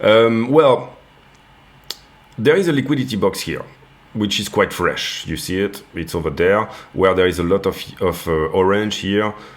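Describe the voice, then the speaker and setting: Using lively intonation and a fairly low pitch, a man talks at a moderate pace with long, frequent pauses. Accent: French. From France. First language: French. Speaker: crypto trading youtuber. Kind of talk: market analysis tutorial. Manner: hesitant, many fillers and repeats.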